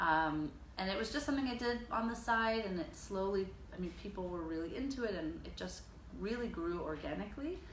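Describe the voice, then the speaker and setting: A woman with an American accent, medium pitch, a fairly quick pace and lively intonation, amid noticeable background noise and audible room echo. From US, Dutch parents. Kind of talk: interview. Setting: her studio. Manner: hesitant, many fillers.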